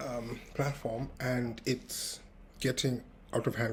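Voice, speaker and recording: This man's somewhat breathy voice stays monotone, with flat intonation throughout. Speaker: tech founder vlogger. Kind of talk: casual vlog monologue. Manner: uneven loudness, practicing projecting; hesitant, many fillers.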